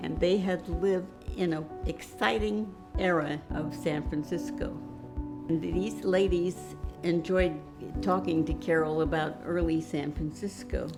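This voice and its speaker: Background music plays as a woman talks at a fairly unhurried tempo. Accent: American. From Portland, Oregon. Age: 90s. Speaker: author. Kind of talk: interview answer.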